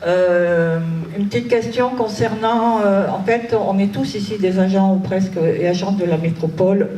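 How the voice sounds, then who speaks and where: Speaking at a fairly slow pace with ordinary pitch variation, the voice carries audible room echo over noticeable background noise. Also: woman. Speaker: public sector employee, audience member. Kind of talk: audience question at public debate. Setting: debate hall with audience. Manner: halting.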